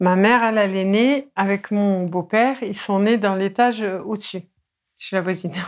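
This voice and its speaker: A woman with a plain, everyday voice, medium pitch and fairly even intonation at a moderate pace, on a very clean recording with a silent background. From northern Meurthe-et-Moselle, Lorraine. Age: 40s. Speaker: yellow vest activist, healer. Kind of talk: casual interview.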